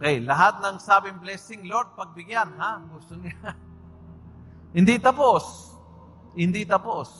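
Speaking with a Spanish accent at a fairly slow pace, a man with a high pitch shows ordinary pitch variation, long, frequent pauses, and big swings in loudness. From Argentina, provincial area. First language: Spanish (speaking Tagalog). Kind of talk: recollection talk / homily. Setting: church with audience. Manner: animated.

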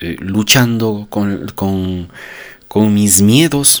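A man speaks with a fairly low pitch. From Ecuador, Cuenca. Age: 40s. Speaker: podcaster on personal growth. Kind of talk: motivational monologue. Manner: unscripted, with frequent hesitations.

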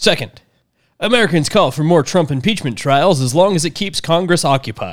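Lively intonation marks a plain, everyday voice at a moderate pace on a very clean recording with a silent background. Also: man, fairly high pitch for a man. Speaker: podcast host. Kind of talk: casual chat.

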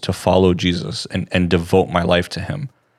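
A man speaks with a very deep, low pitch. The recording is very clean, the background silent. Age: 20s. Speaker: Bible podcast co-host. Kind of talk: Bible study discussion.

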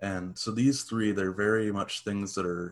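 On a very clean recording with a silent background, a normal speaking voice talks at a moderate pace with fairly even intonation. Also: man. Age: 20s. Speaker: podcast co-host. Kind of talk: casual chat.

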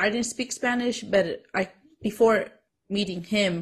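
Against a quiet background, a woman speaks at a moderate pace in a somewhat breathy voice with ordinary pitch variation. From Mexican-American. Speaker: podcast co-host. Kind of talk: casual chat.

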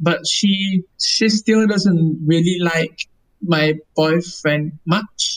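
The speech comes at a very slow pace. It is delivered in a Vietnamese accent. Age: 20s. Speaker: lawyer. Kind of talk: casual interview.

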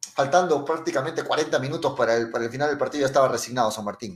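A man speaking with lively intonation. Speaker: sports radio host. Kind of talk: radio football talk show. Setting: radio studio, live broadcast.

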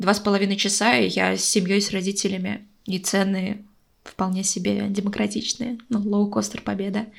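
A woman speaks at medium pitch and a moderate pace. Her intonation is monotone and flat, with vocal fry. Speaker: podcast co-host. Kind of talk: casual chat. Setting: call. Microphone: echo.

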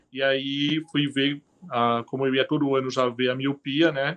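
Against a quiet background, a man with a fairly high voice talks at a fairly slow pace. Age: 40s. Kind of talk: interview. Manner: halting.

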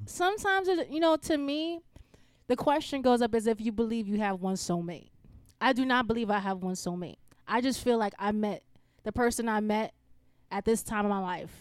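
A woman with a Bronx accent speaks at a fairly quick pace in a fairly high voice. Her intonation is lively, broken by long, frequent pauses. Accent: New York, Bronx. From New York, the Bronx. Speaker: engineer. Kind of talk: casual chat.

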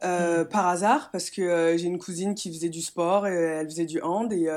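Here a woman speaks at a moderate pace with a fairly low pitch. The recording is very clean, with a silent background. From France, Metz. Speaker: handball player. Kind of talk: interview. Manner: halting.

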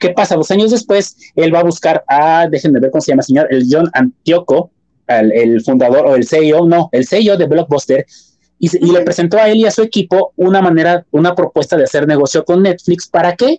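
In a Mexican accent, the voice moves at a fairly quick pace with lively intonation. The tone is dark and mellow, and the sound is dry and close with no echo. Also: man, high pitch for a man, very even loudness. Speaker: podcast co-host. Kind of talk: casual chat.

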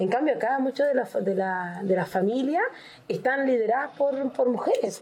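A woman speaks with a high pitch and lively intonation. Her loudness stays very even. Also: moderate pace. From northern Chile (Arica). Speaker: Afro-Chilean community member. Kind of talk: casual chat.

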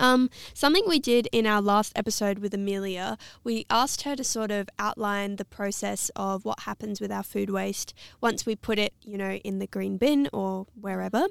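With an Australian accent, the speaker talks at a moderate pace with ordinary pitch variation, recorded very cleanly against a silent background in a dry, close sound with no echo. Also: woman, medium pitch for a woman. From South Australia. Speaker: podcast co-host. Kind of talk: podcast interview.

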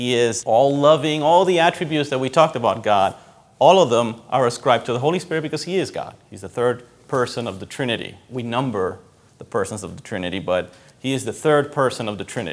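A man with a Spanish accent talks at a very fast pace and medium pitch, using lively intonation and big swings in loudness, on a very clean recording with a silent background. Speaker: pastor. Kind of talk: sermon. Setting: church. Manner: conversational.

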